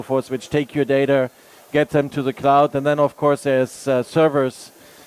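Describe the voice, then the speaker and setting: Flat, monotone intonation comes through in a German accent. The sound is dry and close, with no echo. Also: man. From Germany. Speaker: tech product manager, panelist. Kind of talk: panel discussion.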